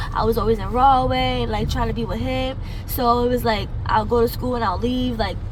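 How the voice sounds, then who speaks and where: In a New Jersey accent, a woman speaks at a moderate pace with audible room echo and noticeable background noise. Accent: New Jersey urban American. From New Jersey, Carteret. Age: 20s. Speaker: street interview subject. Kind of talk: street interview. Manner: halting, many fillers.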